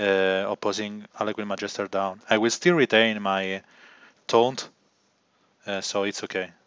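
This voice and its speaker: A man is speaking. He has an Italian accent. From Italy. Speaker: gaming livestreamer. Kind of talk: live gameplay commentary.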